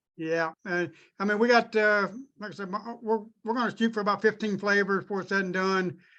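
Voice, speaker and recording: A man with a high pitch and a bright, sharp tone projects his raised voice at a moderate pace. His pitch varies in an ordinary way, and the background is quiet. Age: 50s. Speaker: distillery owner. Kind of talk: podcast interview. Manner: hesitant, many fillers.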